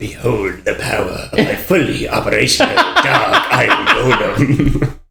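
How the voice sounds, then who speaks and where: A man's put-on character voice, fairly high in pitch, at a moderate pace with hardly any pauses. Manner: menacing, theatrical.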